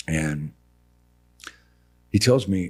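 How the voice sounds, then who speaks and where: With music in the background, a man talks in an animated tone with lively intonation. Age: 60s. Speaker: building contractor. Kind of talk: casual chat. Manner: animated storytelling.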